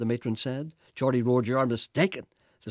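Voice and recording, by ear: The background stays quiet. Against it comes reading aloud in a natural voice.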